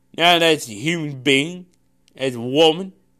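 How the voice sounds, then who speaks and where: A man speaks very slowly at a high pitch with a bright, sharp tone, in a very clean recording with a silent background. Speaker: preacher. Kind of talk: sermon; pep talk. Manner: forceful, repeats lines for emphasis; hesitant, with many filler sounds.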